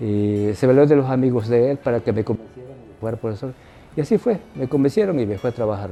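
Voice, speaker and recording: A man's dark, mellow voice of medium pitch at a very fast pace, with ordinary pitch variation and big swings in loudness. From Ecuador, Manabí (Montecristi). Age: 80s+. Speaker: retired teacher. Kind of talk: interview answer.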